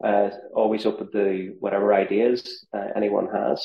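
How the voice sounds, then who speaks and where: A man talks with a Northern Irish accent. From Northern Ireland. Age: 40s. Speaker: ultrarunner and content creator. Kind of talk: podcast interview.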